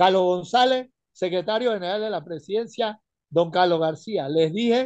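A man with a high voice talks in an animated tone at a moderate pace, the sound dry with no echo against a quiet background. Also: ordinary pitch variation. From Panama. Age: 70s. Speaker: retired caller; caller. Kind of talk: radio call-in opinion. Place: home room. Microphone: phone near.

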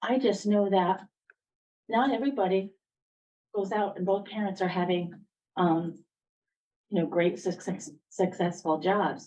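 A woman's medium-pitched voice, dark and mellow in tone, at a moderate pace. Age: 60s. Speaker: resident speaking at public hearing. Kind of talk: public comment at town hearing. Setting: town council meeting with microphone. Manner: halting.

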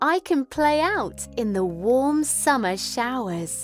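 Over faint music in the background, a woman speaks at a very slow pace in a dry sound with no echo. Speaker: voice-over artist. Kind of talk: children's storybook read aloud.

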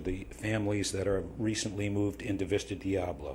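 A man at a moderate pace and fairly low pitch, with audible room echo. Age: 70s. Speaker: public commenter at city council. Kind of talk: public comment speech. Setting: city council meeting. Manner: halting, with fillers.

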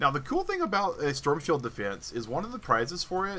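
The speaker uses very wide pitch swings with an American accent. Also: man. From US South. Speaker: gaming streamer. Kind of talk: live gameplay commentary.

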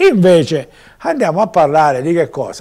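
A man speaks at a moderate pace with very wide pitch swings against a quiet background. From Sicily. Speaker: local TV news commentator; local TV commentator. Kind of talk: TV news commentary; news commentary. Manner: conversational, hesitant with fillers. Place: studio. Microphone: lapel.

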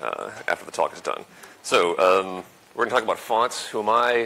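The speaker is a man. He goes at a fairly quick pace with fairly even intonation. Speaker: conference speaker. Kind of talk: conference talk. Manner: fast. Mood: relaxed, light humour. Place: hall.

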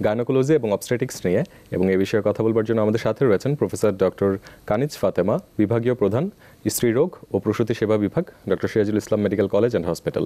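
In a dark, mellow tone, a man speaks at a fairly low pitch with very even loudness and ordinary pitch variation. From Bangladesh. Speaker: TV presenter. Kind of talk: live TV hosting. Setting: TV studio. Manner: formal. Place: studio.

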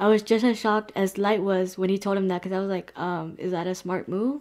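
At a very fast pace, a woman talks with fairly even intonation. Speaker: anime reaction youtuber. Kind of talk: commentary. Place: home room. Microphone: webcam.

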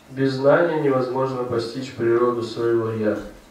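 Here a man talks at a moderate pace. The room echo is audible. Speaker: reader of a scripture commentary. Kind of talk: reading of scripture commentary. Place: church.

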